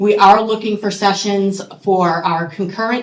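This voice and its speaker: A woman at a medium pitch with ordinary pitch variation and a moderate pace. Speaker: committee member presenting at association meeting. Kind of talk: meeting announcement. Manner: loud.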